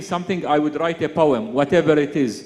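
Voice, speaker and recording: A man with an Arabic accent speaks at a high pitch. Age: young. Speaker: poet. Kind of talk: panel conversation at literary festival. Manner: halting.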